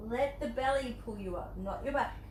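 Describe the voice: A woman speaks at a moderate pace with a fairly high pitch. Clear background noise runs behind her. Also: ordinary pitch variation.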